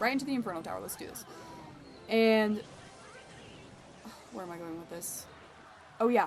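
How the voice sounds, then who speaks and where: A woman talks at a fairly quick pace in a fairly high pitch, with long, frequent pauses and big swings in loudness. Noticeable background noise is present. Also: ordinary pitch variation. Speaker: gaming streamer / video creator. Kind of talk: casual gameplay commentary with storytelling.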